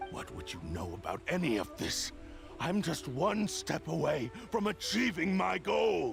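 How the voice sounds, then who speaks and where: A man's put-on character voice at a moderate pace, with clear music in the background. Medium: short film. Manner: arrogant, imperious.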